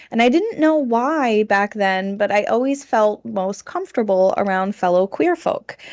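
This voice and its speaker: In a very clean recording with a silent background, a woman uses a plain, everyday voice at a fairly high pitch and a moderate pace. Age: 30s. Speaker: content creator. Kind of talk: casual chat.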